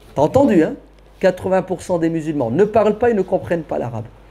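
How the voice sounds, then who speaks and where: A man speaks at a fairly quick pace in a dark, mellow tone, his pitch swinging very widely. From France. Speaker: preacher. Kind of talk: Q&A lecture with audience. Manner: animated.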